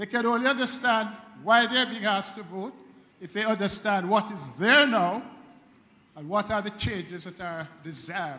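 Raised and projected, a man's high-pitched voice moves at a moderate pace with ordinary pitch variation and big swings in loudness. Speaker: committee member; panel member. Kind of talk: public talk. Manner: humorous. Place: church. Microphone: handheld.

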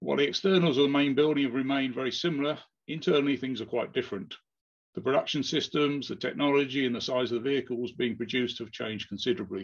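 A man talks very fast with ordinary pitch variation, and the background is quiet. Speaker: presenter. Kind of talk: conference presentation. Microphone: webcam.

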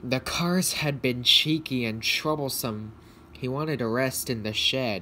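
Text read aloud plainly, its pitch shifting by an ordinary amount.

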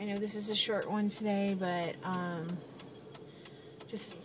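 With an American accent, a woman speaks slowly at a medium pitch and fairly even intonation amid strong room echo.

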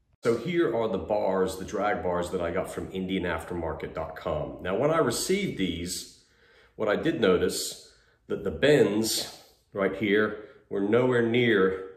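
A fairly slow pace with audible room echo. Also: man, fairly low pitch for a man. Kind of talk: tutorial. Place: garage. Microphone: phone near.

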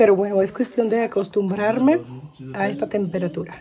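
A woman speaks at medium pitch and a moderate pace, her dark, mellow tone carrying a husky, rough edge and ordinary pitch variation.

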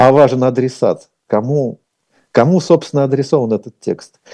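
Against a quiet background, a man speaks with a dark, mellow tone. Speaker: literary critic; guest, presenter. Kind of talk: commentary. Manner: halting. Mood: calm, reflective, memorial tone. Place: home room. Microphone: video call.

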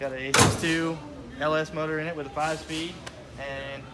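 A man speaks with clear music in the background. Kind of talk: casual walkthrough tour. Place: garage. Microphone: phone near.

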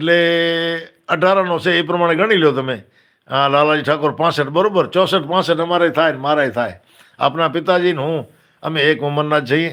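A man speaks at a fairly high pitch with a bright, sharp tone and ordinary pitch variation. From Tharparkar, Pakistan (Sindh), moved to Kutch at 14-15. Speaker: devotional storyteller and live streamer. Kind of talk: devotional storytelling on a live stream.

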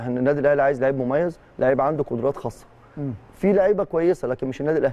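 A man's voice with ordinary pitch variation. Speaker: youth team football coach. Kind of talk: interview answer. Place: studio. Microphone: lapel.

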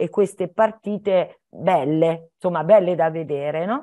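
Against a quiet background, a woman talks fairly slowly in a fairly low pitch with ordinary pitch variation. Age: 60s. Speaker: primary school teacher; primary school teacher, guest. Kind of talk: educational Q&A talk for children. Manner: halting, with many fillers and restarts. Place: home room. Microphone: video call.

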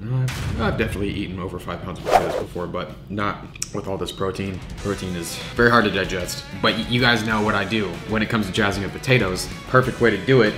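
Clear music plays behind a man who talks at a very fast pace. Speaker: food challenge creator. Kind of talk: casual vlog chat. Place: kitchen.

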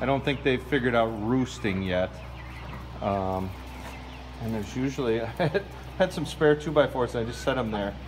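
Lively intonation from a man at a moderate pace, noticeable background noise behind him. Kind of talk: casual vlog chat. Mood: amused, light-hearted. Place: farm machine. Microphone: phone near.

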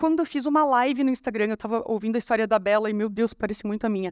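A woman talks at a very fast pace with a fairly high pitch and ordinary pitch variation. The background is quiet and the sound is dry with no echo. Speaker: copywriter and conference speaker; conference speaker. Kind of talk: conference talk. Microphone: handheld.

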